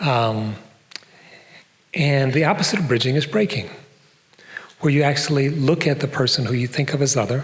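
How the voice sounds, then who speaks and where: A man with a North American accent speaks at a moderate pace and a fairly high pitch, with ordinary pitch variation, very even loudness and long, frequent pauses. Noticeable background noise and audible room echo surround him. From US Midwest, Detroit. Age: old. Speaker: professor. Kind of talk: public lecture. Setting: stage with audience.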